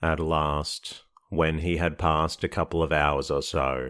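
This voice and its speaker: A man with a very deep, low pitch speaks fairly slowly in a flat monotone with vocal fry and a soothing tone, on a very clean recording with a silent background. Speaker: sleep podcast narrator. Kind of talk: sleep story reading of a classic novel. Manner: slow, soothing, monotone.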